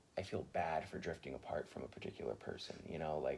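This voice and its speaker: The speaker is a man. Noticeable background noise runs under the recording. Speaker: college student. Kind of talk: interview answer.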